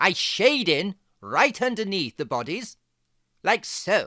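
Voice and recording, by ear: A put-on character voice with a bright, sharp tone and big pitch swings moves at a slow pace in a very clean recording with a silent background.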